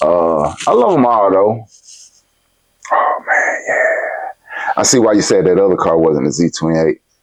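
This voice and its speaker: Music plays in the background as a man speaks with a Southern US accent. His pace is fairly slow and his loudness very even. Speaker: show host. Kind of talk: casual chat.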